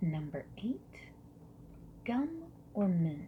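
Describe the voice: Speaking at a very slow pace, a woman uses a fairly low pitch with big pitch swings.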